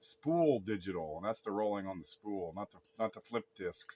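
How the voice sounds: A man talks with lively intonation at a moderate pace.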